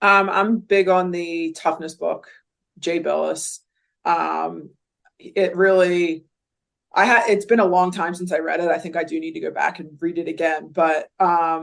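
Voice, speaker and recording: In a Philadelphia accent, a woman speaks at a fairly slow pace. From Philadelphia area, US. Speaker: college basketball coach. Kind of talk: podcast interview. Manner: casual, filler-heavy.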